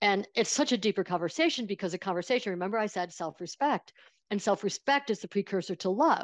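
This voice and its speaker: A woman with a Buffalo accent, medium in pitch, at a very fast pace, in a very clean recording with a silent background. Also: lively intonation, dry, close sound with no echo. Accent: Western New York (Buffalo) American. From Buffalo, New York. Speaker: financial planner and money coach. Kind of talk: casual interview conversation.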